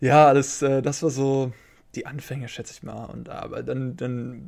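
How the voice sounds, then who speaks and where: A man's medium-pitched voice at a moderate pace. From Germany, Hamburg. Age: 20s. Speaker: professional card game player. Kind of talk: interview. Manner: halting, many fillers.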